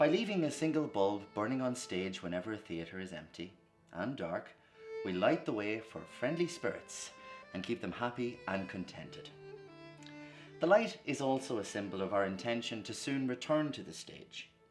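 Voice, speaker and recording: Over music in the background, a man at medium pitch and moderate pace makes very wide pitch swings and big swings in loudness. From Dundalk, Ireland. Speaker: actor. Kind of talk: event introduction.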